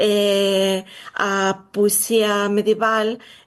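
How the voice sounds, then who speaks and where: Flat, monotone intonation marks this woman's speech in a Galician accent. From Galicia, Spain. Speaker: literature researcher. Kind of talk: interview.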